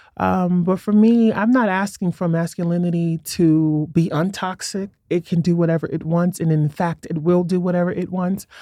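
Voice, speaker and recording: A woman with a New York accent, fairly low in pitch, at a moderate pace with hardly any pauses and fairly even intonation. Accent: New York City. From Brooklyn, New York City. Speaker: writer and performance artist. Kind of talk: casual interview chat. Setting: studio.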